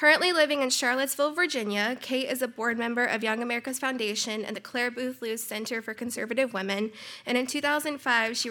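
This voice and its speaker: A woman talks at a very fast pace. Her voice is high, with a bright, sharp tone. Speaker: conference introducer. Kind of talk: formal speaker introduction. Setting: conference stage with audience.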